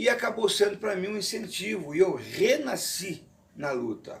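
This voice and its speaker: Fairly slow male voice with very wide pitch swings and audible room echo. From Rio de Janeiro, Brazil. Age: 60s. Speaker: retired kung fu teacher. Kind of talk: interview testimony. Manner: formal.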